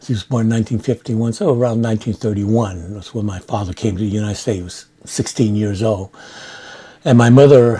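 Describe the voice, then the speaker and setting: Against noticeable background noise, a man with an American accent speaks at medium pitch with fairly even intonation. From San Francisco, California. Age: 70s. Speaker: war veteran. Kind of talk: oral history interview. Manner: halting with many fillers.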